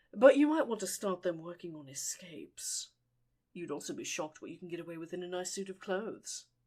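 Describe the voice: The intonation moves in a lively way. It is plain reading aloud.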